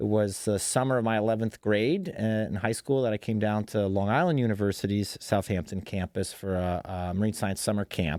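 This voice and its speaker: On a very clean recording with a silent background, a man with a fairly low pitch and a slight Western New York accent talks at a fairly quick pace with hardly any pauses and ordinary pitch variation. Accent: slight Western New York twang. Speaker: shark researcher and marine science teacher. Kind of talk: podcast interview. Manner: casual, with many fillers.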